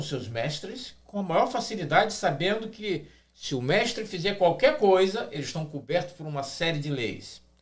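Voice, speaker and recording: A man's high-pitched voice at a moderate pace, with lively intonation and audible room echo. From Brazil. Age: 60s. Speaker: pastor. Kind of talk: podcast discussion. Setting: studio.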